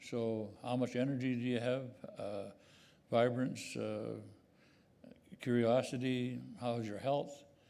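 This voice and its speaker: Audible room echo surrounds a man speaking fairly slowly at a medium pitch. His tone is dark and mellow, his intonation monotone and flat. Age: 80s+. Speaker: award recipient, businessman. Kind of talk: onstage interview. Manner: halting.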